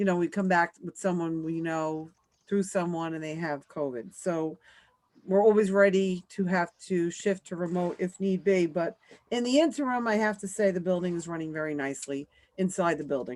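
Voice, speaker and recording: In a very clean recording with a silent background, a woman with a New York accent and fairly low pitch speaks at a moderate pace. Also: ordinary pitch variation. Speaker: school principal. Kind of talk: meeting report.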